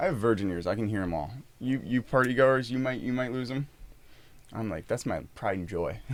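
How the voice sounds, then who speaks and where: This man talks at a fairly quick pace with lively intonation. His pitch is medium. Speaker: podcast co-host. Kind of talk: casual chat. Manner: fast.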